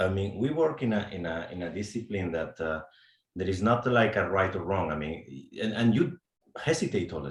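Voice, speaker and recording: A man with a Spanish accent speaks at a moderate pace and a fairly low pitch. His voice is somewhat breathy, and his intonation is lively. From Spain. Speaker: HR executive, program alumnus. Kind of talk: panel discussion. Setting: webcast.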